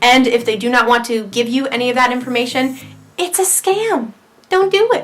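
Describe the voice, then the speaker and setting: With music in the background, a woman speaks at a high pitch and a moderate pace with ordinary pitch variation. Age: 18. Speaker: model and vlogger. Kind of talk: casual Q&A vlog.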